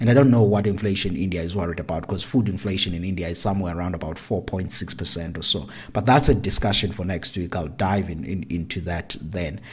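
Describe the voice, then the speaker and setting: A man with a very deep, low pitch talks at a very fast pace with hardly any pauses. His voice is somewhat breathy, with ordinary pitch variation. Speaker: agricultural economist podcast host. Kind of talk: solo commentary.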